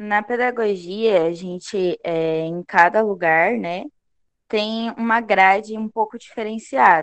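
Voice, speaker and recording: The pace of this woman's speech is very slow. She has a medium pitch that varies in an ordinary way. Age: 20s. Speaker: pedagogy student. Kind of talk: casual interview.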